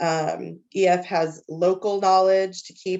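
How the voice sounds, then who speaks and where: Her pitch medium, a woman talks with monotone, flat intonation. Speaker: teacher leading student tours. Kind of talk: presentation at a parent meeting. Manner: hesitant, many fillers.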